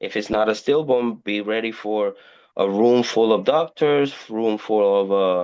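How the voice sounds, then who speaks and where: A man with a Spanish accent speaks against a quiet background. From Puerto Rico. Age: 40s. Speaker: indie horror author. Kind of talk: podcast interview. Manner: halting, many repeated words.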